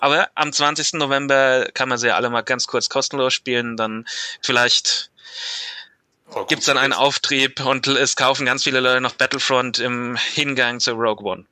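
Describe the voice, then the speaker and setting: Heard in a dry, close sound with no echo, a man with a medium pitch speaks at a moderate pace in a monotone, flat intonation. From Germany, Mainz. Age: 20s. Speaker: listener guest, gaming fan. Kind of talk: casual chat.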